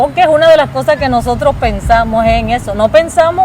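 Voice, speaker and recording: Crowd noise fills the background as a woman talks at a fairly quick pace. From Colombia, Caribbean coast (Cartagena). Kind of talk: testimony. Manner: animated.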